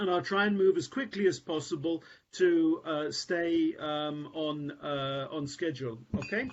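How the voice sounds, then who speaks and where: A man talks in a plain, everyday voice at a fairly high pitch. His pace is fairly slow, with ordinary pitch variation. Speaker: scholar, conference speaker. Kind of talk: conference presentation.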